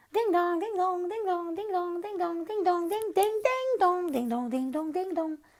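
In a put-on character voice, a woman talks at an extremely high pitch and a moderate pace with hardly any pauses. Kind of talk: bedtime story. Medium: read story. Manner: giddy, repetitive.

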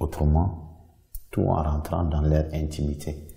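Against a quiet background, a man speaks very slowly in a very deep, low voice that is dark, mellow and somewhat breathy. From Mali. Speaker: visual artist. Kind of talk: artist presentation monologue. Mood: calm, reflective. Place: studio.

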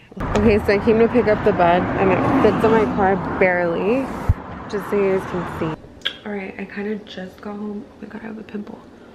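Loud background noise fills the clip as a woman talks at a fairly quick pace. Her intonation stays fairly even while her loudness swings widely. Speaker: vlogger and waxing business owner. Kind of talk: casual vlog. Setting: in a car.

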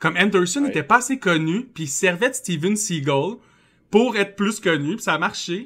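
Bright and sharp in tone, a man's high voice carries lively intonation at a moderate pace on a very clean recording with a silent background. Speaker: podcast host. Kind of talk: casual chat.

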